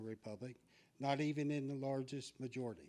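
With a dark, mellow tone, a man speaks at a moderate pace in a fairly high pitch, keeping his intonation fairly even. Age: 60s. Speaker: public commenter at school board meeting. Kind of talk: public comment speech.

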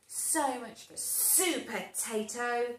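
In a put-on character voice, a woman speaks at a high pitch. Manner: screeching.

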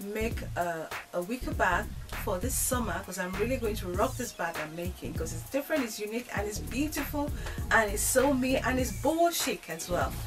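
A woman speaking at a fairly quick pace over clear music in the background. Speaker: DIY vlogger. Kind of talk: casual vlog chat. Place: home room. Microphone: camera far.

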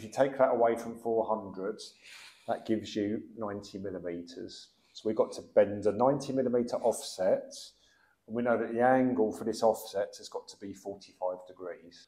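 A man speaks at a fairly quick pace in a dark, mellow tone. His intonation stays fairly even, with audible room echo. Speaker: plumbing instructor. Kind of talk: tutorial. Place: workshop.

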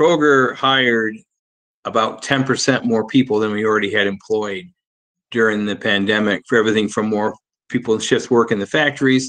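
The background is quiet as a man talks. He keeps a moderate pace and fairly even intonation. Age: 60s. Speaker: dairy supply chain director; guest. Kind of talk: panel discussion. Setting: video call. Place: home room. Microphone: video call.

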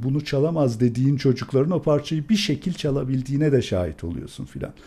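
With a somewhat breathy, dark, mellow tone, a man talks at medium pitch and a fairly quick pace. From Turkey. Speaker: classical guitarist and music professor; music professor. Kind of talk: casual interview. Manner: animated. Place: home room. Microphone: studio mic.

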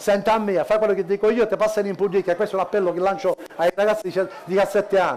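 Over light background noise, a man talks at a fairly quick pace with a high pitch. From Sicily. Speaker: cabaret comedian. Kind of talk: stand-up. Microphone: headset.

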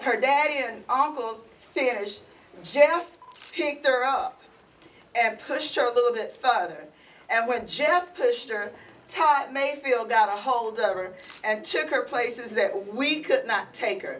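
A woman talks at a fairly slow pace with a high pitch and lively intonation, leaving long, frequent pauses. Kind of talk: emotional speech of thanks. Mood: emotional, grateful. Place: classroom. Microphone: camera far.

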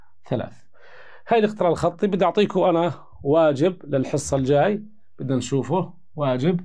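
A man's high-pitched voice, dark and mellow in tone, at a moderate pace over a quiet background. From Jordan. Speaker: math teacher. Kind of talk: lecture. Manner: animated. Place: studio.

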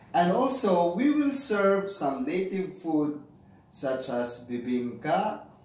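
There is light background noise and audible room echo as a man speaks. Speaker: interviewee. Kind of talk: interview answer. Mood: friendly, smiling. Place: home room. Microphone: camera far.

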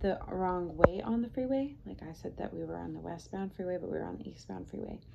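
Noticeable background noise runs behind the recording. A woman talks at a fairly quick pace. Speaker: vlogger. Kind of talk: casual vlog chat. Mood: relaxed retelling of stressful event. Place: home room.

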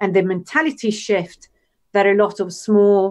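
A woman of medium pitch talks with an Italian accent. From Italy. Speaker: UX designer and educator; educator. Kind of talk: casual interview. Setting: video call. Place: home room. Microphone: video call.

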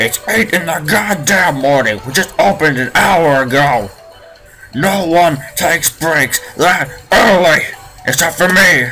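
A man puts on a guttural, strained character voice at a high pitch with lively intonation. Clear music plays in the background. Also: fairly slow pace.

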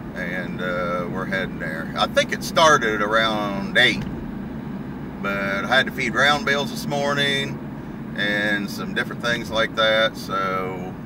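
Loud background noise surrounds a man talking at a fairly slow pace, the sound dry with no echo. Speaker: farmer vlogger. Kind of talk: casual vlog chat. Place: car. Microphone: camera far.

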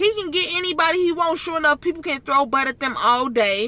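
A woman's raised, projected voice, with a dry sound and no echo. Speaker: vlogger. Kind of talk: casual vlog chat, opinion commentary. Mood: indignant, opinionated. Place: car. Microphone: phone near.

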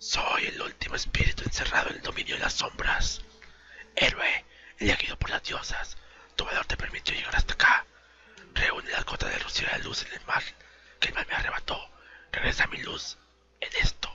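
A raspy, extremely high-pitched put-on character voice speaks at a moderate pace in a flat monotone. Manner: solemn, otherworldly.

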